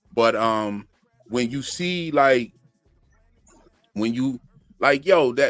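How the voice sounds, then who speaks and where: A man with a medium pitch, a relaxed tone and lively intonation, speaking at a very slow pace over music in the background. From Florida (Sanford), moved from Pennsylvania around age ten. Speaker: channel host and music producer. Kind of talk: casual chat on a live stream. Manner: relaxed, slangy.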